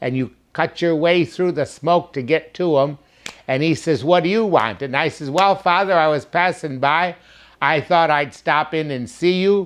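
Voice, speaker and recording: Fairly high for a man, ordinary variation in pitch, a moderate speed of delivery. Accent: American. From west side Detroit, Michigan. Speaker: former neighborhood resident. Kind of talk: oral history storytelling.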